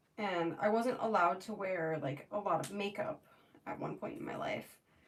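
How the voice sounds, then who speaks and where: Speaking at medium pitch with an American accent, a woman lets her voice make very wide pitch swings. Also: moderate pace. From Florida. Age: 20s. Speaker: makeup artist streamer. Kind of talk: casual chat. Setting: livestream. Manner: chatty, filler-heavy.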